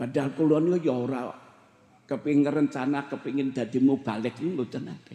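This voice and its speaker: A man's fairly high, dark and mellow voice at a fairly quick pace, with fairly even intonation and big swings in loudness. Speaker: Islamic preacher. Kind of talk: sermon. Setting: religious gathering with audience.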